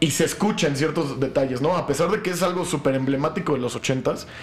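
Someone with a Mexican accent speaks at a fairly quick pace with ordinary pitch variation, against noticeable background noise. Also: man. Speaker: podcast host. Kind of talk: casual chat.

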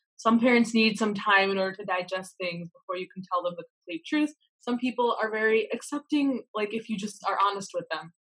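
A woman with a normal speaking voice and an American accent talks at a fairly quick pace with hardly any pauses, using a fairly high pitch and ordinary pitch variation, in a dry, close sound with no echo. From US Midwest, Michigan. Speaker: medical student. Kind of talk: casual chat.

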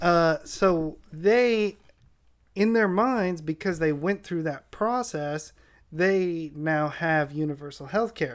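In a very clean recording with a silent background, a man with an American accent speaks at a very slow pace. His pitch is high, with ordinary variation. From San Diego, California. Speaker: podcast guest. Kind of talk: casual chat.

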